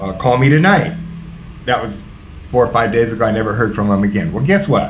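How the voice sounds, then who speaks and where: A man with an American accent and a medium pitch speaks at a fairly quick pace in an animated tone with very wide pitch swings, over noticeable background noise and audible room echo. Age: 60s. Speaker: former prisoner in recovery. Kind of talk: interview testimony.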